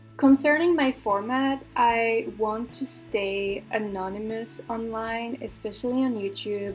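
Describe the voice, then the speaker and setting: A woman talks at a fairly slow pace with ordinary pitch variation. She hardly pauses at all. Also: fairly high pitch for a woman. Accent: French. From France. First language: French. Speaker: YouTuber commentator. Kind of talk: casual chat over gameplay. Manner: hesitant, many fillers. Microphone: laptop microphone, poor quality.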